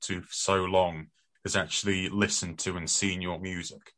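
A man's voice with a British accent against a quiet background. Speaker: radio host. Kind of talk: casual radio chat.

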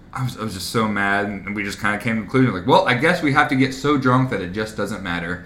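A man speaks at a very fast pace in a fairly low voice, his intonation lively, with audible room echo and noticeable background noise. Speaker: podcast co-host. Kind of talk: casual chat.

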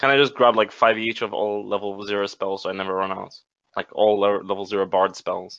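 A man's normal speaking voice, fairly low in pitch, at a fairly quick pace and with fairly even intonation. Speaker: tabletop game player. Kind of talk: casual tabletop roleplaying game session.

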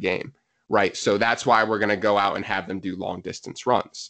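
A man with an American accent speaks at a moderate pace in a fairly low pitch. His intonation is monotone and flat, and the background is quiet. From US, New Jersey. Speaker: physiotherapist and soccer coach. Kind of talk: casual interview chat.

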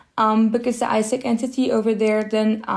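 The voice is a woman's, fairly high in pitch. Its tone is dark and mellow. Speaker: student organization president. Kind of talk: interview. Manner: hesitant, frequent um.

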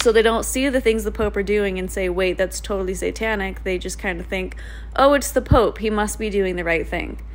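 Fairly quick speech from a woman, with noticeable background noise. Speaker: podcast host. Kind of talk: casual monologue with reading aloud of letters. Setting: home recording, alone in apartment. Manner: animated, laughs often.

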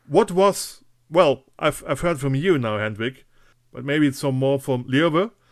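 A man with a German accent, fairly high in pitch with ordinary variation, in a very clean recording over a silent background. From western Germany (Eifel). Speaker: podcast host. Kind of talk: casual interview.

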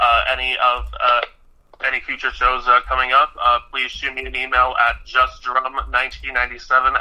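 A man is speaking. His pace is fairly slow. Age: 20s. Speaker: guest co-host. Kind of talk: interview. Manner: halting, many fillers.

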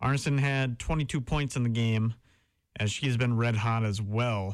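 A man with a Wisconsin accent on a very clean recording, silent background. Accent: Upper Midwest (Wisconsin). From Wisconsin (Howard, near Green Bay). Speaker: college radio sports host. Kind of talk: sports talk show. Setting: radio studio.

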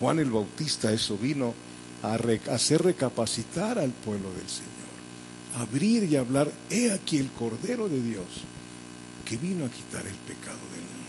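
Moderate-paced speech with long, frequent pauses and big swings in loudness, over audible room echo and noticeable background noise. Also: man. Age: 70s. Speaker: pastor. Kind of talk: sermon.

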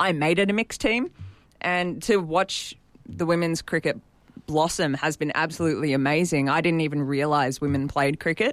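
In an Australian accent, a woman speaks at a moderate pace with very deep, low pitch and ordinary pitch variation. Her loudness stays very even, and the recording is very clean with a silent background. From Sydney North Shore, Australia. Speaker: amateur cricketer and new sports broadcaster. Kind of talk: interview.

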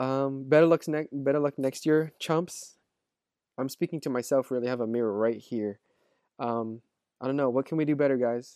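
The sound is dry and close, with no echo, and the tone is dark and mellow. Intonation stays fairly even at a moderate pace. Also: man, medium pitch for a man. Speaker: fantasy football podcast co-host. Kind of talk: casual banter.

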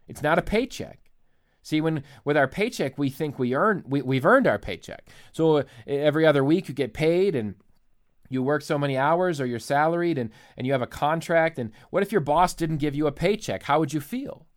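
A man's normal speaking voice, fairly high in pitch, with lively intonation and a fairly quick pace, on a very clean recording with a silent background. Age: 30s. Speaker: former pastor, podcast host. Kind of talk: solo podcast teaching.

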